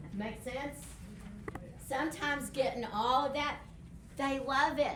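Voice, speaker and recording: A woman with a West Texas accent speaks in a room with audible echo. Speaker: behavior specialist. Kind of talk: workshop presentation.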